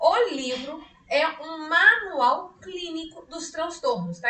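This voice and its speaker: In a room with audible echo, a woman speaks at an extremely high pitch with a bright, sharp tone and ordinary pitch variation. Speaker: psychologist teaching a study group. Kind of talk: online lecture. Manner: speaking louder than usual; conversational, many fillers. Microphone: weak mic, voice coming out quiet.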